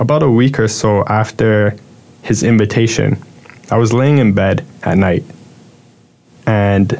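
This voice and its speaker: Against noticeable background noise, a man with a fairly low pitch speaks at a fairly slow pace with long, frequent pauses, very even loudness and fairly even intonation. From Toronto, Canada. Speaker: church member giving testimony. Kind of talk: testimony.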